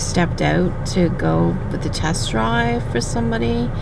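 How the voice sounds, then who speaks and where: Noticeable background noise sits under this woman's speech. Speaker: vlogger. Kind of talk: casual vlog chat. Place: car. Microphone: phone near.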